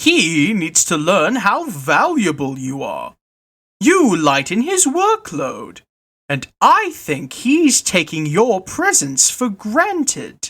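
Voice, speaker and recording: A put-on character voice, fairly high in pitch, with very wide pitch swings and a very slow pace. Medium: read story. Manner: confiding, persuasive.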